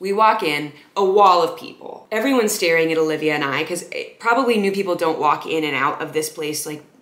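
A woman's fairly low-pitched voice at a fairly quick pace, with ordinary pitch variation and audible room echo. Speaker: content creator. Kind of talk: casual storytelling vlog. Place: home room.

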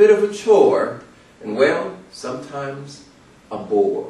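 Room echo is audible as a man talks through noticeable background noise. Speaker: motivational speaker. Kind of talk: motivational speech.

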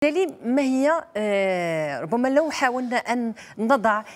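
A woman is speaking. Her pitch swings very widely. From Morocco. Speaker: TV talk show host; TV show host. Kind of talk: TV panel discussion; talk-show question to guests. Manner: formal. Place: studio. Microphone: lapel.

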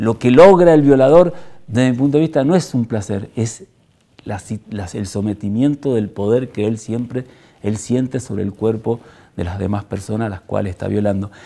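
A man talks at medium pitch and a moderate pace, his intonation lively. His tone is dark and mellow. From Argentina, Mendoza; Argentina. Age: 60s. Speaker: former political prisoner and human rights activist. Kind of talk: testimony. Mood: grave, reflective.

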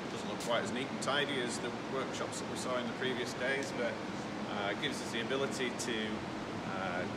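Loud background noise sits under a man's voice. He talks at a moderate pace with ordinary pitch variation. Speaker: company host. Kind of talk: casual tour commentary. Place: garage. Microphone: phone near.

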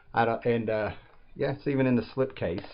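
A man talks at a moderate pace in a medium pitch.

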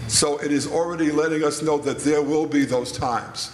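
A man speaks at a moderate pace. Audible room echo and light background noise come through. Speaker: panelist. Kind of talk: interview answer. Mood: calm, teaching tone. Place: church. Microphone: handheld.

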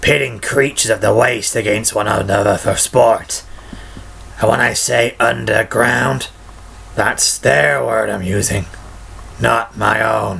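A man puts on a raspy, gravelly character voice, speaking at a fairly slow pace over clear background noise. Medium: voice reel. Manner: dry, conversational.

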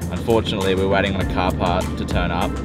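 A man talks at a very fast pace over loud background music, the sound dry with no echo. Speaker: travel vlogger driving. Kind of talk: casual vlog chat. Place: car. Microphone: phone near.

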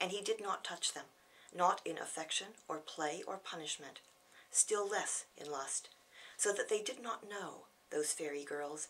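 A woman with an American accent speaks at a fairly slow pace in a fairly low pitch. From California, United States. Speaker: poet. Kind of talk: poetry reading. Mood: grave, measured. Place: home room. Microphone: camera far.

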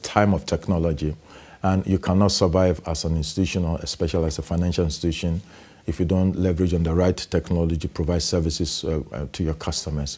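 A man's dark, mellow voice at a fairly quick pace. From Ghana. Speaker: bank executive. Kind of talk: interview. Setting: studio. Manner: halting. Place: studio. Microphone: lapel.

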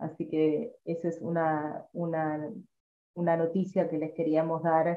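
A woman with a Rioplatense accent speaks in a fairly low voice. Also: fairly even intonation, moderate pace. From Argentina. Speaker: seminar moderator. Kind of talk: formal moderation. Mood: warm, smiling. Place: home room. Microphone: video call.

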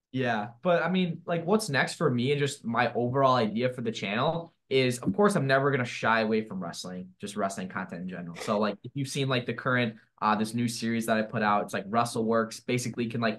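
A man is speaking here. His pace is fairly quick and his pitch variation ordinary. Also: hardly any pauses. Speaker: remote podcast guest, wrestling content creator. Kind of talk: interview answer. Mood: relaxed, upbeat. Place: home room. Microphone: video call.

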